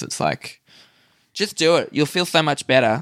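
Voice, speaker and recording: The recording is very clean, with a silent background. A man with an Australian accent speaks at a moderate pace, with lively intonation and vocal fry. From Australia, Newcastle NSW. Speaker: stand-up comedian. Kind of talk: casual chat. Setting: hotel room.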